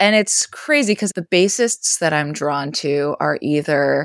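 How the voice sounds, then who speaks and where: A woman's very deep, low voice in an American accent, dry and close with no echo. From US Northeast, rural western Maine. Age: 20s. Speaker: bassist and composer. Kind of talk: casual interview.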